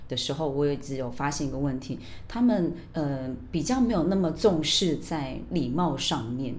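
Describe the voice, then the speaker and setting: A woman with a very deep, low voice and lively intonation speaks at a moderate pace, with audible room echo. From Taiwan, raised in Australia from age 12. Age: 40s. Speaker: bilingual teacher. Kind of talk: interview.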